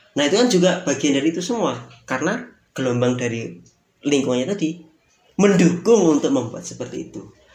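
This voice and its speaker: Very fast and full of very wide pitch swings, a man's fairly high-pitched voice carries vocal fry. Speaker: podcast host.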